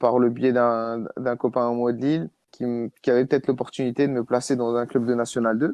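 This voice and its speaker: In a quiet background, a man speaks at medium pitch in a dark, mellow tone. The sound is dry and close, with no echo. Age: 20s. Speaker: amateur footballer. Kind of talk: casual chat. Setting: podcast recording. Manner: halting.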